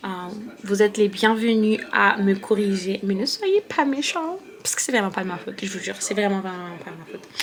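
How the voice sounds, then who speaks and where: With noticeable background noise behind her, a woman of medium pitch speaks at a fairly quick pace, her loudness swinging widely. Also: ordinary pitch variation. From France. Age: 20s. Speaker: beauty and lifestyle vlogger. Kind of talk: casual vlog talk to camera. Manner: hesitant, many fillers.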